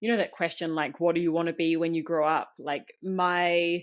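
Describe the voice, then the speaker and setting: Very clean and set against a silent background, this recording features a woman with a New Zealand accent. Her pitch is fairly low and her intonation fairly even. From New Zealand, small farming town. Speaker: community founder. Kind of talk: podcast interview.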